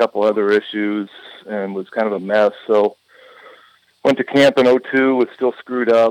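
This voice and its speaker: This man has a plain, everyday voice, fairly low in pitch, with fairly even intonation. The sound is dry and close, with no echo. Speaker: retired baseball pitcher. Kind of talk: interview.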